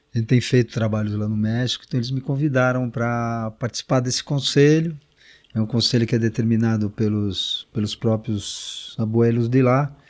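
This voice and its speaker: A man speaks at medium pitch and a moderate pace. His intonation is fairly even, and the recording is very clean with a silent background. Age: 60s. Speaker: shaman and author. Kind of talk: interview. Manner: halting, many fillers.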